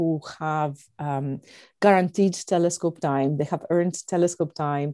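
In a Greek accent, a woman speaks at a moderate pace with a dark, mellow tone. The recording is very clean, with a silent background. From Greece. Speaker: astronomer, organization director. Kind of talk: interview.

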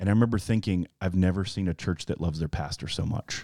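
In a very clean recording with a silent background, a man with a Southern US accent speaks with a very deep, low pitch and a dark, mellow tone, his intonation fairly even and the sound dry and close with no echo. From Alabama. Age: 40s. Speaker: pastor. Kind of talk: casual chat.

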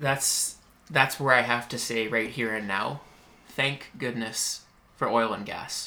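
Speaking very slowly with a Western Canadian accent, this man has a medium pitch, a bright, sharp tone and fairly even intonation. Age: 20s. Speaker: podcast host. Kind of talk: casual interview chat. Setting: at guest's business premises.

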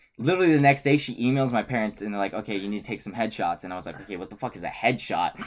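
In a Californian accent, a man talks at a very fast pace with hardly any pauses and big swings in loudness. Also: medium pitch for a man, lively intonation. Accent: Californian American. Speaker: college student. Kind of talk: casual chat. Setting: bedroom home recording.

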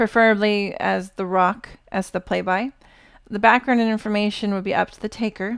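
The text is simply read aloud. Its intonation is fairly even.

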